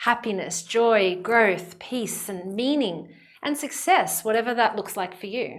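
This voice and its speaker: A woman speaks with an Australian accent at a fairly high pitch. Her pace is moderate and her pitch varies in an ordinary way. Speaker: psychologist. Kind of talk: channel introduction. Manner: direct, earnest.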